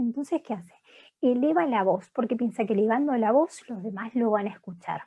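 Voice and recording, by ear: This woman's fairly high voice has a dark, mellow tone with a slightly husky edge, moving at a moderate pace with lively intonation.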